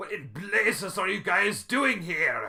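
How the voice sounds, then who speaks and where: A man uses a put-on character voice that sounds raspy. He delivers it at a fairly slow pace. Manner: yelling.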